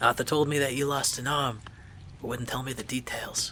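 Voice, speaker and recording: The man uses a hoarse, put-on character voice at a medium pitch, moving at a fairly quick pace. His intonation is monotone and flat, with clear background noise. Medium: read story. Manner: wisecracking, deflecting.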